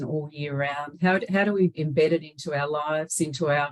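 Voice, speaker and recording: Ordinary pitch variation from a woman with an Australian accent. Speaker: webinar host, organisation CEO. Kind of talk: webinar presentation. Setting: online webinar.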